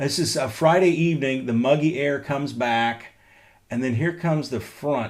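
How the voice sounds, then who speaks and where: Pitch varies in an ordinary way in a plain, everyday voice. The pace is moderate. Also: man. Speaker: meteorologist. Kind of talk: weather update livestream. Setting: at home.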